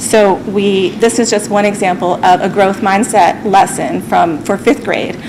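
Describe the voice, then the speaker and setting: Over noticeable background noise, a woman with a medium-pitched voice talks with hardly any pauses. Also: ordinary pitch variation. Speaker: school district staff presenter. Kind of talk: presentation at school committee meeting. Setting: public school committee meeting, broadcast. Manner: fast; hesitant, many fillers.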